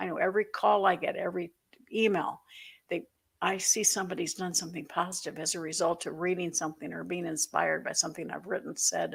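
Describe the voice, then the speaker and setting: Very fast and fairly low, a woman's voice carries vocal fry and fairly even intonation. The recording is very clean, with a silent background. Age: 60s. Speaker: author and financial educator. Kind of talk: interview.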